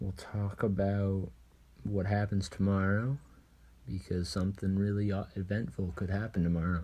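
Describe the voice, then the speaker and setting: This man's fairly low voice has a dark, mellow tone and a somewhat breathy quality, moving at a moderate pace. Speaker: podcast co-host. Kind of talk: casual chat. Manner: monotone.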